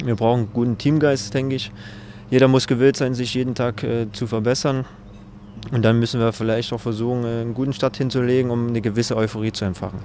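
A man talks at a very fast pace in a monotone, flat intonation. The sound is dry with no echo, over light background noise. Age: 30s. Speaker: professional footballer. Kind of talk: interview answer. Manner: reserved, not loud. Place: open country. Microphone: handheld.

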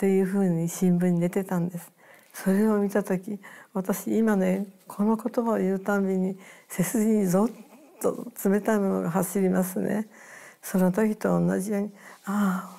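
A woman speaks fairly slowly in a dark, mellow tone, with long, frequent pauses. Her intonation is monotone and flat over a quiet background. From Hiroshima, Japan; Japan. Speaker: atomic bomb survivor. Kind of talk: testimony. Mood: somber, reflective recollection. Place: home room.

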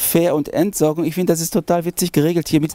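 A man speaks over clear background music, the sound dry with no echo. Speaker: presenter. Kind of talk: travel vlog presentation. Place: open country.

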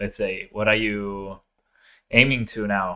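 The speaker is a man with an Italian accent. The background is quiet. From Italy. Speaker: podcast co-host. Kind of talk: interview; interview question. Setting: video call. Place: home room. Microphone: video call.

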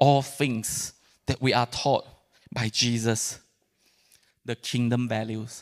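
The background is quiet as a man talks at a very slow pace. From Malaysia. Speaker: pastor. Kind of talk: sermon. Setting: church. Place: church. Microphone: handheld.

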